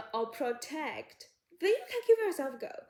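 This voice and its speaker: A woman with a non-native accent speaks using lively intonation. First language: not English. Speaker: psychology YouTuber. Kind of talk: casual advice talk to camera. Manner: halting.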